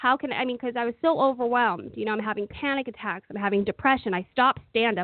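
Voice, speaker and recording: The woman has an unremarkable speaking voice, fairly high in pitch, with ordinary pitch variation. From Oakland, California. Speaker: comedian and entertainer. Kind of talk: interview testimony.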